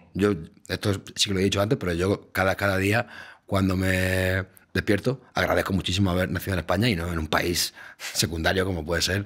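A man with a very deep, low voice speaks at a fairly quick pace over a quiet background. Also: fairly even intonation. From Spain, Valencia; Spain. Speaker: podcast host, radio journalist. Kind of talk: casual chat. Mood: playful, deadpan irony. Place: studio. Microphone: studio mic.

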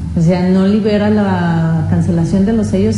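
The speech moves at a moderate pace. Background noise is noticeable throughout. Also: woman. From Mexico. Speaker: taxpayer advisor. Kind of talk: TV interview. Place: studio. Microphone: lapel.

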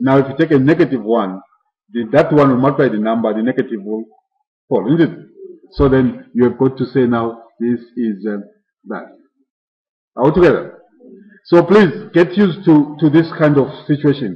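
A man at a moderate pace, somewhat breathy, with lively intonation and long, frequent pauses. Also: medium pitch for a man. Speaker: mathematics lecturer. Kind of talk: lecture. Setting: classroom with live students. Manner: interactive, asks class questions often; self-correcting, somewhat halting.

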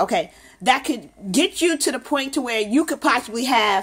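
Very wide pitch swings in a woman's high-pitched voice. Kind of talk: casual questioning of a child. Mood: playful, encouraging. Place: home room.

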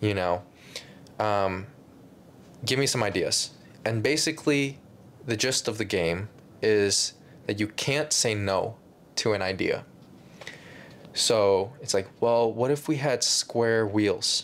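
A man talks at a very slow pace with long, frequent pauses. His loudness stays very even, and his pitch varies in an ordinary way. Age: 20s. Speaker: YouTuber and filmmaker; YouTuber. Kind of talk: casual chat. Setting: casual room, on a couch or bed. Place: home room.

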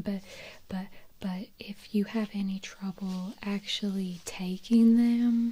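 The voice is soft-spoken. Its intonation stays monotone and flat. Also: woman. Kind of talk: soft-spoken role-play talk to the viewer. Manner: soft-spoken, close ASMR voice. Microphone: studio mic.

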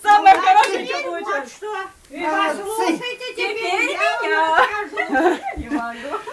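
A woman with an extremely high pitch talks very slowly, her pitch swinging very widely between long, frequent pauses. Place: home room. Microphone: phone near.

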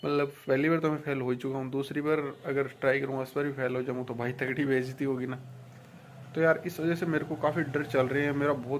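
A man's medium-pitched voice at a fairly quick pace, with little pitch movement and audible room echo.

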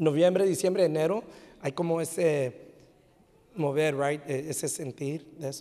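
A man speaks at a fairly slow pace, leaving long, frequent pauses. His pitch is fairly high for a man, with ordinary pitch variation and an animated, warm tone. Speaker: pastor. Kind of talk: sermon. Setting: church. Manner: animated, warm, preacherly, with frequent restarts and repeated words. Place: church. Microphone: handheld.

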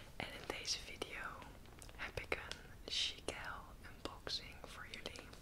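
A woman whispers at a very slow pace. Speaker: ASMR content creator. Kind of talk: ASMR show and tell haul. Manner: whispering, soft-spoken. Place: home room. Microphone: earbuds.

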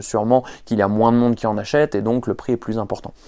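A male speaker with a quiet background. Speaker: fitness coach. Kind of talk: casual vlog chat. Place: garage.

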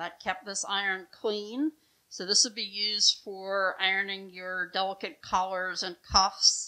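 The background stays quiet. Against it, a woman talks at a fairly slow pace. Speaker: museum guide or docent. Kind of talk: educational explanation. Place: home room.

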